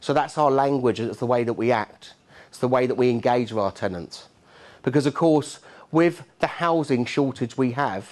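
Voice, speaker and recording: A man with a Cockney accent speaks at a moderate pace in a medium pitch, his animated tone carrying big swings in loudness and ordinary pitch variation. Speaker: keynote speaker, landlord and housing expert. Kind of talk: conference keynote talk. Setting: stage with audience. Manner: animated, conversational.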